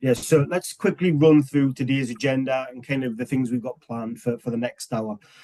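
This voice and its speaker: A man speaks with an English accent and a medium pitch. His dark, mellow tone sounds dry and close, with no echo. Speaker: webinar host, software customer success manager. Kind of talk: webinar presentation.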